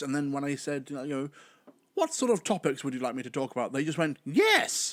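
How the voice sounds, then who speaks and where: On a very clean recording with a silent background, a man with a British accent speaks at a fairly high pitch with ordinary pitch variation. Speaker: podcaster. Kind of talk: casual solo podcast monologue. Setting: home recording while live streaming. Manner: well-spoken, articulate.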